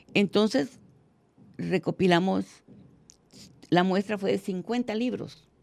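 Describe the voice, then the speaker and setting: A woman talks at a fairly slow pace with vocal fry. The recording is very clean, with a silent background. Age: 80s+. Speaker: teacher and education researcher. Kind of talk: interview.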